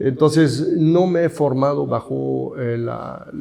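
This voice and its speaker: This is a man speaking with a Swiss accent. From Switzerland. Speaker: architect and professor. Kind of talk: interview.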